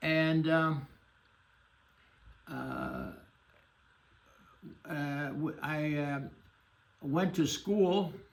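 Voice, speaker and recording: A man with a fairly high voice talks at a very slow pace with long, frequent pauses, in a room with audible echo. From Germany, grew up in Shanghai. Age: 80s+. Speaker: Holocaust refugee survivor. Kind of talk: interview testimony. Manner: halting, many fillers.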